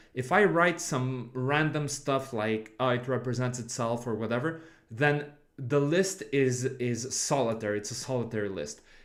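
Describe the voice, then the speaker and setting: A man with a non-native accent talks at a moderate pace in a medium pitch, his pitch varying in an ordinary way. Room echo is audible. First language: not English. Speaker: game development streamer. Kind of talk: livestream coding tutorial. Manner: halting, with many restarts and fillers.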